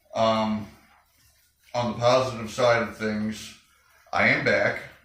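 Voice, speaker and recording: The man talks at a fairly slow pace with a medium pitch and flat, monotone intonation, and room echo can be heard. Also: long, frequent pauses. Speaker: motorcycle garage youtuber. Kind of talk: casual video talk.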